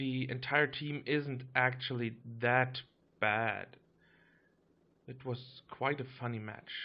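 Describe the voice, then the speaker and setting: A man at medium pitch speaks at a very slow pace with fairly even intonation. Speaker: gaming YouTuber. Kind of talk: gameplay commentary. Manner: casual, some hesitations.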